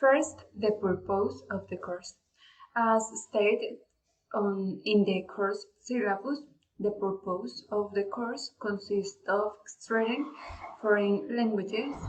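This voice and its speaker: At a very slow pace, a somewhat breathy voice moves through ordinary pitch variation. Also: woman, medium pitch for a woman. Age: 20s. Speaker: language student. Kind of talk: class presentation. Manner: formal, partly read.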